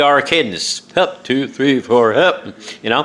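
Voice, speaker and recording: Speaking slowly with a New York accent, the voice swings very widely in pitch over noticeable background noise. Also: man. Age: 60s. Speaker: author and vlogger. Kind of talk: casual monologue. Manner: halting, many fillers.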